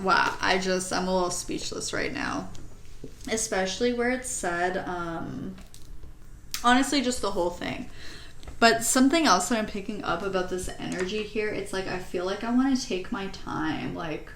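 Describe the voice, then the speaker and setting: A woman's medium-pitched voice with ordinary pitch variation at a moderate pace, amid noticeable background noise and audible room echo. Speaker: tarot reader. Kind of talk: tarot reading. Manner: halting.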